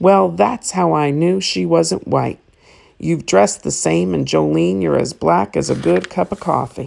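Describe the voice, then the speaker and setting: A woman puts on a character voice that is raspy and very deep, at a moderate pace. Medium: read story. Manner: easygoing, blunt.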